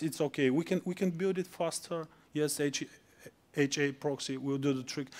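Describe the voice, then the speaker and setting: Over a silent background in a very clean recording, a man with an unremarkable speaking voice talks at a moderate pace, his pitch fairly high and his intonation fairly even. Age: 30s. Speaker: conference speaker. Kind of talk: conference talk; Q&A answer.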